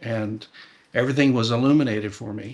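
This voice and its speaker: In a General American accent, a man with a medium pitch and fairly even intonation talks at a moderate pace in a normal speaking voice. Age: 60s. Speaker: former church member. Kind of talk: interview testimony.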